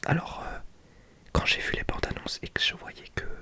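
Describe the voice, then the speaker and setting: A man whispers at a moderate pace. Noticeable background noise is present. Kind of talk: ASMR book presentation, casual talk to camera. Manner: whispered, relaxing.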